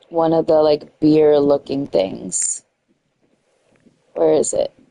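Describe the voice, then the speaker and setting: Speaking at a very slow pace, a woman with an American accent is heard in a dry, close sound with no echo. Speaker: gaming streamer. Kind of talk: casual live-stream commentary. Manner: chatty, thinking aloud.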